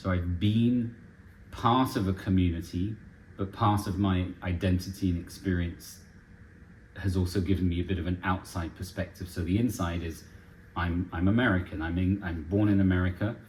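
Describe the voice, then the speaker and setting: Very deep and low in pitch, a man's somewhat breathy voice moves at a moderate pace with fairly even intonation. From France (Paris), English-American expat. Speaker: charity director. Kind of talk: casual interview.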